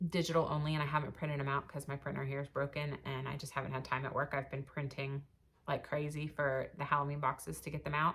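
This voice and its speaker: A woman's very deep, low-pitched voice, monotone and flat, at a very fast pace. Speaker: cross stitch vlogger. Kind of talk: casual chat. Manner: hesitant fillers.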